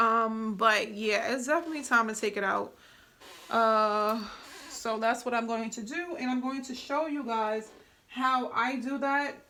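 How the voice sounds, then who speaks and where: A woman with a bright, sharp tone and fairly high pitch speaks at a fairly slow pace with ordinary pitch variation, with room echo audible. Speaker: hair care YouTuber. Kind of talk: tutorial. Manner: casual, filler-heavy.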